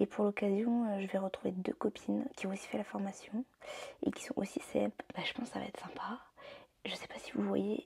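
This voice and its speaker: A soft-spoken woman talks at a fairly quick pace. Her loudness swings widely, and she leaves long, frequent pauses. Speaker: vlogger. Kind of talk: casual vlog talk. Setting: at home getting ready. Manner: hesitant, many fillers.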